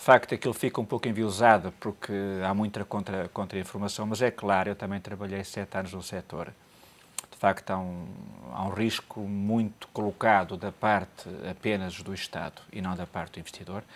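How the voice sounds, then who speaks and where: A man's fairly low voice at a moderate pace, with fairly even intonation and big swings in loudness. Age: 50s. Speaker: economic commentator. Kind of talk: TV panel discussion. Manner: halting, with frequent repetitions. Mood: calm analytical. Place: studio. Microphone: lapel.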